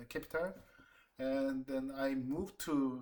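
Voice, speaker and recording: Talking fairly slowly, a man keeps to a medium pitch. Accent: Korean. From South Korea, Seoul. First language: Korean. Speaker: designer and planner. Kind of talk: job interview. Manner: halting.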